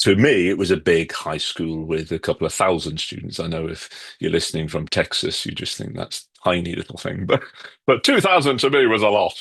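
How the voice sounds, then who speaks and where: The speaker has a British accent and a fairly quick pace. The intonation is lively throughout. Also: man, very deep, low pitch for a man. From UK. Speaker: author and educator. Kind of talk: podcast interview. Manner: conversational, with fillers.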